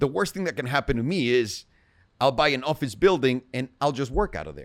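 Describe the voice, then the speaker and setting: A man with vocal fry at a fairly quick pace, in a very clean recording with a silent background. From Mexico City. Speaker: entrepreneur, real estate investor and producer. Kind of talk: casual interview chat. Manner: casual, profane.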